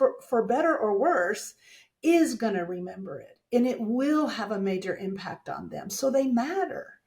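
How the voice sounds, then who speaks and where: At a moderate pace, a woman speaks in a fairly high, somewhat breathy voice with very wide pitch swings. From Texas, small town. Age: 60s. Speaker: dental communication speaker and coach. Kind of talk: podcast interview.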